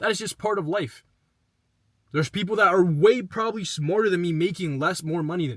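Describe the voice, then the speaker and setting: Big swings in loudness, ordinary pitch variation and a fairly quick pace. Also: man, high pitch for a man. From Dominican Republic. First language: Spanish. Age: 20s. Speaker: online entrepreneur and vlogger. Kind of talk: casual motivational talk to camera. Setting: in a parked car outside his office.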